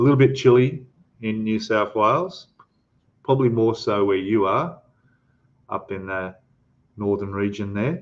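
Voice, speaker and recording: Speaking at a fairly slow pace, this man has an Australian accent. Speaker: scale model ship builder and youtuber. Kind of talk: livestream chat reading viewer comments. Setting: livestream. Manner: casual, hesitant with fillers.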